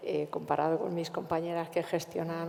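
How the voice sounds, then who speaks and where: Noticeable background noise runs behind a woman whose pitch is fairly low. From central Spain, Cuenca. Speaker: cultural manager. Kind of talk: panel discussion.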